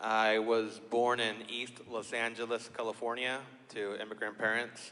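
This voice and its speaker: A man with an American accent, medium pitch and a bright, sharp tone, speaking at a fairly slow pace. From Yakima, Washington, US. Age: 40s. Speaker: political candidate. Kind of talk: candidate introduction. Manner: halting, many fillers.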